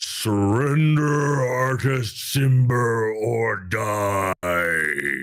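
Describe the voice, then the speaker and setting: Booming at a very slow pace, a man uses a put-on character voice at a medium pitch. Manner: commanding, threatening.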